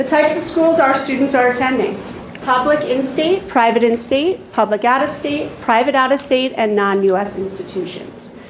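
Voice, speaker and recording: Over noticeable background noise and audible room echo, a woman speaks at a moderate pace with lively intonation. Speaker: school counselor presenting to board. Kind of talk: formal presentation. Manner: loud.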